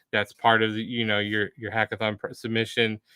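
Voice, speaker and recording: Speaking with an American accent, a man has a medium pitch. His intonation is monotone and flat. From United States. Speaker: livestream host for a developer community. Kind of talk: live stream wrap-up and announcements. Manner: casual with many filler words.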